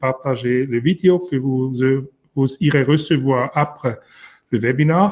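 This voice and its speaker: With a non-native accent, a man speaks at a very slow pace. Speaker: company founder and webinar host. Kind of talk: webinar closing remarks.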